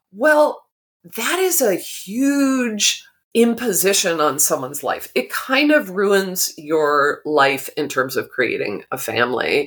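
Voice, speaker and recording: A woman speaks very slowly in an American accent. Her pitch swings very widely, with vocal fry. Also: medium pitch for a woman. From Massachusetts (Arlington, outside Boston). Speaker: author and drama therapist. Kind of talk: interview. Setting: podcast recording.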